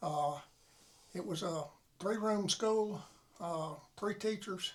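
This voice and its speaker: With a Southern US accent, a man talks at a fairly slow pace in a high voice with ordinary pitch variation. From US South (Florida panhandle). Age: 80s+. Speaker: war veteran. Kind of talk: interview. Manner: halting.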